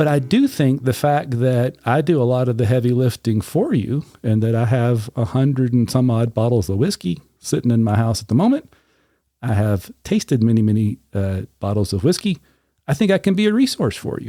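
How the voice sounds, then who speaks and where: A man speaks with a Southern US accent at a moderate pace, his pitch medium. His tone is dark and mellow, and the sound is dry and close with no echo. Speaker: podcast host, whiskey reviewer. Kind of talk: casual chat.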